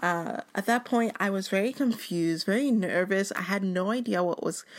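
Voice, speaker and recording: With an unremarkable speaking voice, this woman keeps a medium pitch, a moderate speed and normal pitch movement. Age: 20s. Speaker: podcast host. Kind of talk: personal storytelling monologue.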